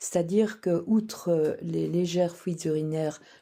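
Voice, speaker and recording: A woman with a fairly low pitch and a dark, mellow tone speaks at a fairly slow pace with ordinary pitch variation. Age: 70s. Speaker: client giving a testimonial. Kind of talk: testimony.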